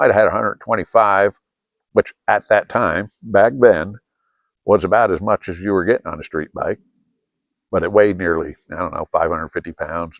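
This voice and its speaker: A man talks at a moderate pace with an American accent. The sound is dry and close, with no echo. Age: 60s. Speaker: video blogger. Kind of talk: casual monologue. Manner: halting, many fillers.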